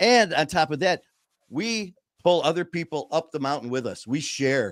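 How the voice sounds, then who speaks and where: With an American accent, a man speaks in a fairly high pitch with an animated tone and lively intonation, recorded dry and close with no echo on a very clean, silent background. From Detroit, Michigan. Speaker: podcast host, person in recovery. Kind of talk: casual chat. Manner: fast, talkative.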